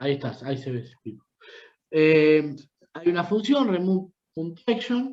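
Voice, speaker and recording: Speaking at a moderate pace in a Rioplatense accent, a man with a high pitch shows very wide pitch swings, big swings in loudness and long, frequent pauses, with audible room echo. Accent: Argentine Rioplatense Spanish. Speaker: university lecturer. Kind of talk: lecture. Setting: video call.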